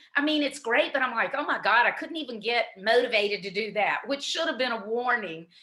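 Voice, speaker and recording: A woman's high-pitched voice at a fairly quick pace, with lively intonation, hardly any pauses and noticeable background noise. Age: 60s. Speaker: business strategy advisor and author. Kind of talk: interview.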